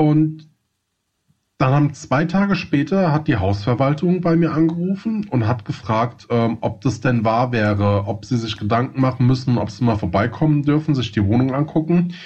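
Medium-pitched, somewhat breathy male speech with a slight Hessian accent, lively intonation, very even loudness and a moderate pace. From Hesse, Germany. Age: 30s. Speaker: podcast co-host. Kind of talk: casual chat.

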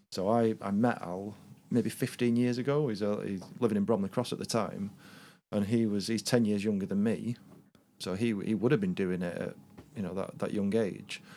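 A man with a Lancashire accent, fairly low-pitched, at a moderate pace, on a very clean recording with a silent background. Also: ordinary pitch variation. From Lancashire, northwest England. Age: 40s. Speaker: podcast guest. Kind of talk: casual chat.

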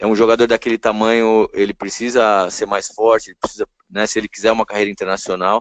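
A man at a medium pitch at a very fast pace with hardly any pauses, in a monotone, flat intonation. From São Paulo, Brazil. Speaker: basketball coach. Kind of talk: interview. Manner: casual.

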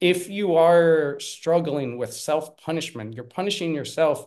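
Against a quiet background, a man with an American accent speaks at a fairly slow pace. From Pennsylvania, US. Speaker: parenting coach, former English teacher. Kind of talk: podcast interview.

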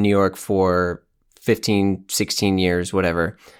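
The pace is fairly slow. The recording is very clean with a silent background. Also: man. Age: 30s. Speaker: fashion podcast host. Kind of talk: casual interview chat. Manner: animated.

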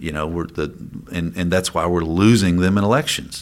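A man with an Appalachian accent speaks in a very deep, low pitch with ordinary pitch variation. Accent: Appalachian Kentucky. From eastern Kentucky mountains. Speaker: state legislator. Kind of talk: interview. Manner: halting, many fillers.

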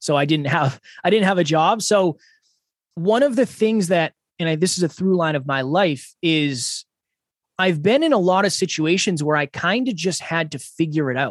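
The man's high-pitched voice has lively intonation, heard with a dry, close sound, no echo and a quiet background. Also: moderate pace. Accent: American. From Massachusetts, US. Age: 30s. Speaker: podcaster and speaker. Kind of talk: interview.

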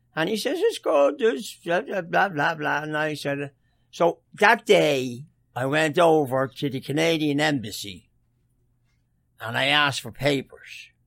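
With a strong Dublin accent, a man speaks at a fairly slow pace in a fairly high pitch and lively intonation. The recording is very clean with a silent background. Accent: Irish, Dublin, still strong. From Dublin, Ireland. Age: 70s. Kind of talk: casual interview, storytelling.

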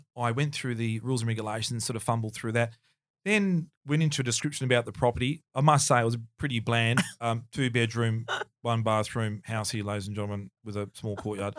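Recorded very cleanly against a silent background, a man with an Australian accent talks at a fairly quick pace with ordinary pitch variation. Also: medium pitch for a man. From Melbourne, Australia. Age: 50s. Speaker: auctioneer. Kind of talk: casual interview chat, storytelling.

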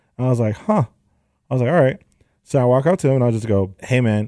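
In a Southern California accent, a man speaks in a dark, mellow tone with ordinary pitch variation. The sound is dry and close with no echo, in a very clean recording against a silent background. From San Fernando Valley, Los Angeles. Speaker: sneaker store owner. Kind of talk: casual interview.

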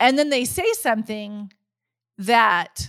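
A woman with an ordinary speaking voice talks at a fairly high pitch and a fairly slow pace, with lively intonation. The recording is very clean, with a silent background. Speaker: podcast host and coach. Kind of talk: podcast interview.

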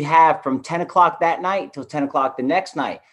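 Here a man speaks at a fairly high pitch and a moderate pace. His pitch variation is ordinary, and the background is quiet. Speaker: activist, former park resident. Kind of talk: panel interview. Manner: animated.

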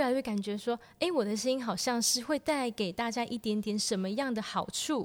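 At a fairly quick pace, a woman speaks. Her high pitch shows ordinary variation. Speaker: piano teacher and hospital researcher. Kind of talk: casual chat.

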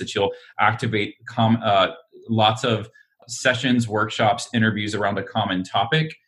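With an American accent, a man talks in an ordinary speaking voice at a medium pitch, his intonation fairly even. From Alabama, US South. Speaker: entrepreneur. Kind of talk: interview.

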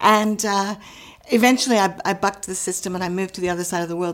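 In an unremarkable speaking voice, a woman talks fairly quickly at a medium pitch with fairly even intonation. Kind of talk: casual interview chat.

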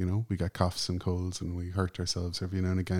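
On a very clean recording with a silent background, a man with an Irish accent speaks quickly in a very deep, low pitch. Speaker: journalist and musician. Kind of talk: interview conversation. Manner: calm.

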